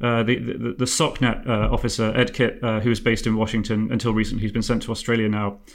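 Speaking with an English accent, a man uses a medium pitch. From England. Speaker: podcast host. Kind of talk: casual discussion.

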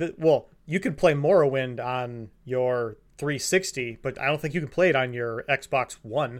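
With a normal speaking voice, a man of medium pitch talks at a fairly slow pace, with ordinary pitch variation and hardly any pauses. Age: 20s. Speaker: podcast co-host. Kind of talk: casual chat.

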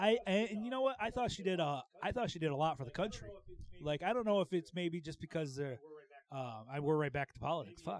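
A man's fairly high voice, very fast, with very wide pitch swings. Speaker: comedy podcast co-host. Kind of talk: casual chat.

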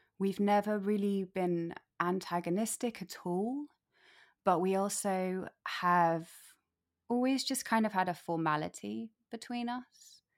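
Recorded very cleanly against a silent background, an ordinary speaking voice moves at a fairly slow pace with ordinary pitch variation. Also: woman, medium pitch for a woman. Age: 30s. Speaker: actor and photographer. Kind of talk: casual chat.

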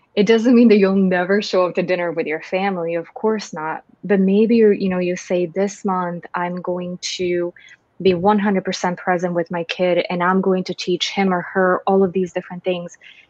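A woman with a medium pitch talks at a moderate pace in a monotone, flat intonation, with hardly any pauses. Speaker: organizational psychologist and co-host. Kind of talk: casual chat.

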